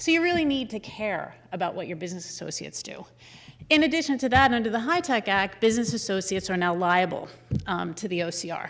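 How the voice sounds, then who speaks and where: A woman with a medium pitch talks at a very fast pace, her pitch swinging very widely. Audible room echo is present. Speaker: healthcare lawyer. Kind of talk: conference talk.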